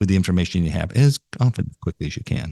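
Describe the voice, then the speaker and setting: With an American accent, an ordinary speaking voice comes at a fairly quick pace with ordinary pitch variation, in a dry, close sound with no echo against a quiet background. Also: man. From New York. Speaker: podcast host, marketing association CEO. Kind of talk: interview conversation.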